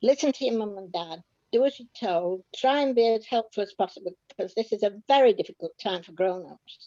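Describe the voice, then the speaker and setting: A woman's dark, mellow voice at a fairly quick pace, with lively intonation and big swings in loudness. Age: 80s+. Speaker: war-time childhood witness. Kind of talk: interview. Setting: video call.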